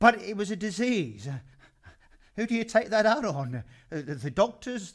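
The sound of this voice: A put-on character voice with a fairly bright tone moves at a moderate pace through big pitch swings. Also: man, high pitch for a man.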